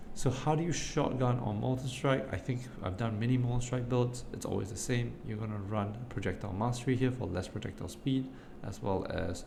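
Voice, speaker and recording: Amid noticeable background noise and audible room echo, a soft-spoken man talks at a fairly quick pace. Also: medium pitch for a man, ordinary pitch variation. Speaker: video game content creator. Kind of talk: gameplay build guide tutorial.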